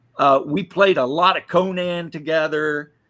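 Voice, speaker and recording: The voice has a bright, sharp tone, moderate pace and ordinary pitch variation. The recording is very clean, with a silent background. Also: man. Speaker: streamer. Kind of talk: casual chat. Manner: halting.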